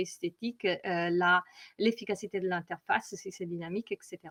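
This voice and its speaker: With an Italian accent, a woman of medium pitch speaks at a moderate pace with fairly even intonation, in a dry, close sound with no echo. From Italy. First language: Italian (speaking French). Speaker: data visualization consultant. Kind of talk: conference presentation. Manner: hesitant, many fillers.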